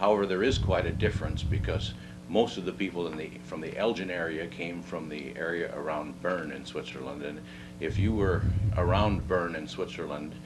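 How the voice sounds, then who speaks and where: Over music in the background and audible room echo, a man speaks at a moderate pace in a very deep, low voice with ordinary pitch variation. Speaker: oral history interviewee. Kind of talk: oral history interview. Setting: at home. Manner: halting.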